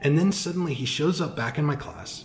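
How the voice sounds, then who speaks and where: Noticeable noise fills the background. Over it, a man speaks at a fairly quick pace. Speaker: cigar shop host. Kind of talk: casual talk to camera. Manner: soft-spoken.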